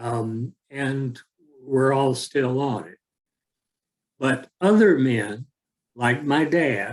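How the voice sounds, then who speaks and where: In an American accent, a man talks at a very slow pace and a medium pitch, with ordinary pitch variation, big swings in loudness, long, frequent pauses, and a dry, close sound with no echo. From US South. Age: 70s. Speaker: author and speaker. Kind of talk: talk to a small group.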